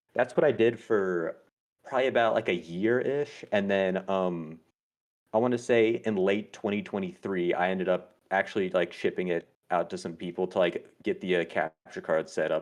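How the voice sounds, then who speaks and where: Against a quiet background, a man with an ordinary speaking voice talks at a moderate pace with a fairly low pitch and ordinary pitch variation. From US South. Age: 20s. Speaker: speedrunner. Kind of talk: casual interview chat.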